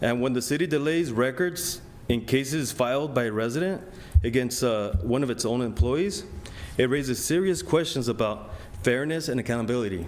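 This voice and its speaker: Audible room echo surrounds a man of medium pitch with a non-native accent. He talks at a fairly quick pace with lively intonation. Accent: foreign. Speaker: resident making public comment. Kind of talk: public comment speech. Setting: city council meeting. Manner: halting, with fillers.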